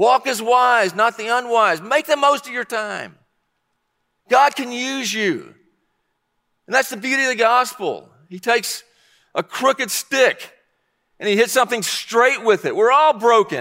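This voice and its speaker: A raised, projected voice with a bright, sharp tone and ordinary pitch variation moves at a fairly slow pace with long, frequent pauses, the sound dry and close with no echo in a very clean recording with a silent background. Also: man, extremely high pitch for a man. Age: 60s. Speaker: pastor. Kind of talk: sermon.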